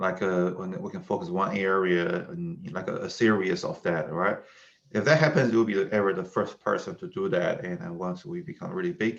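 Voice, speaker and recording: Using very wide pitch swings, a man with a Chinese accent speaks at a moderate pace in a fairly low voice. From China. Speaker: tech startup founder. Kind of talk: casual interview conversation.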